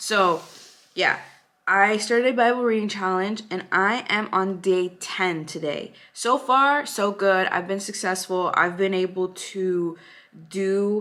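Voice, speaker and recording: This woman has a bright, sharp tone and a medium pitch. She speaks at a very slow pace with ordinary pitch variation. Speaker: lifestyle vlogger. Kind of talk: casual vlog talk.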